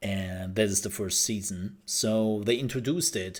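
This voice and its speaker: On a very clean recording with a silent background, a man with a non-native accent speaks fairly slowly, his pitch varying in an ordinary way. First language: not English. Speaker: gaming podcaster. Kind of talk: solo podcast commentary. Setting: home recording at night. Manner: animated.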